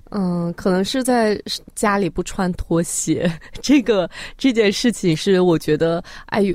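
A woman talks with medium pitch and lively intonation. Hers is a normal speaking voice. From Xinjiang, northwest China. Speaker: social media video creator. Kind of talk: radio interview.

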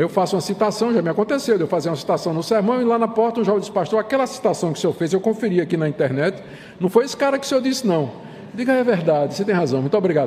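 Noticeable background noise surrounds a man whose very fast speech has lively intonation. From Brazil, Recife, Pernambuco. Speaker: pastor. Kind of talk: lecture. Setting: church.

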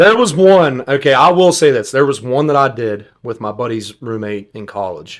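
In an American accent, a man talks at a moderate pace in an ordinary speaking voice, with lively intonation and big swings in loudness. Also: medium pitch for a man. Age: 20s. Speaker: singer. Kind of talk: casual chat.

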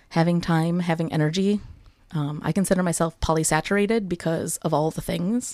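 In a very clean recording with a silent background, a woman with a normal speaking voice speaks at a fairly quick pace and fairly low pitch in an American accent, with fairly even intonation. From US Midwest (Wisconsin). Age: 30s. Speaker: educator. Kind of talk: casual interview.

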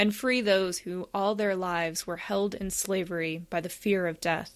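Recorded very cleanly against a silent background, a woman speaks at a medium pitch with fairly even intonation. She has an unremarkable speaking voice. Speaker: scripture reader. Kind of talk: reading aloud.

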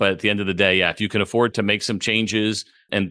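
Against a quiet background, a man with a fairly low pitch and a bright, sharp tone talks at a very fast pace with fairly even intonation. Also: dry, close sound with no echo. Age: 50s. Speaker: baseball broadcaster and former pitcher. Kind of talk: casual chat.

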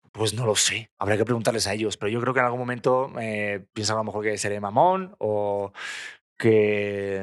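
This recording is very clean against a silent background. The speaker's intonation remains fairly even. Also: man, fairly low pitch for a man. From Spain. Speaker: TV presenter and actor. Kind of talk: casual chat. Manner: fast.

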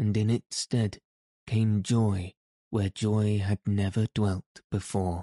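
A natural reading voice keeps fairly even intonation against a quiet background.

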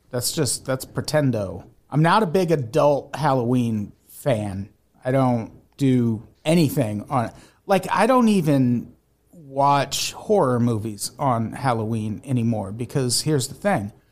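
An unremarkable speaking voice from a man with an American accent, medium in pitch, lively in intonation, at a fairly slow pace. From US Midwest (Peoria, Illinois). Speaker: podcast host. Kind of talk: casual chat. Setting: video call.

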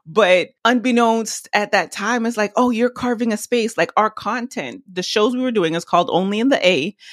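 A woman speaks in a plain, everyday voice, fairly high in pitch with ordinary pitch variation. Her moderate pace has hardly any pauses, and the sound is dry and close with no echo. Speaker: video marketing agency CEO. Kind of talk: casual interview chat.

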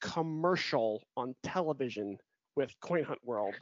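A man speaks in a normal speaking voice at a fairly slow pace. His intonation is lively. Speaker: podcast host. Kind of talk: casual chat. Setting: video call.

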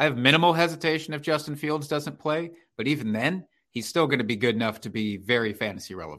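Over a quiet background, a man with an American accent talks very fast in a fairly high, bright and sharp voice with lively intonation. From Iowa, US Midwest. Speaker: fantasy football podcast host. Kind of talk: casual chat about fantasy football.

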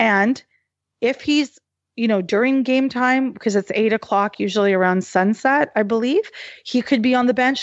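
A woman with a Canadian accent and a fairly high pitch speaks in a normal speaking voice with ordinary pitch variation. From Canada, Halifax, Nova Scotia. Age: 40s. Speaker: sports journalist and activist. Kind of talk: interview conversation.

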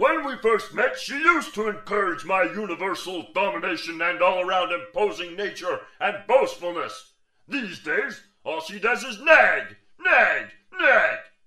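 A man speaks in a put-on character voice. His pitch sits high, and he keeps a moderate pace. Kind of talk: comic overacting. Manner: blustering, commanding, then sulky.

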